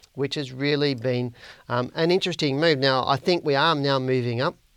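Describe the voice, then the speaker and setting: With an Australian accent, a man talks at a fairly quick pace in a fairly high voice with ordinary pitch variation. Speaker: stock market analyst and educator. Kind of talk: market analysis video report. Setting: online video recording. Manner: informal, friendly.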